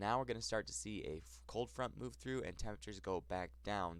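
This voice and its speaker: A man with an American accent speaks in a very deep, low voice that swings very widely in pitch. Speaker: weather forecaster. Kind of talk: weather forecast talk.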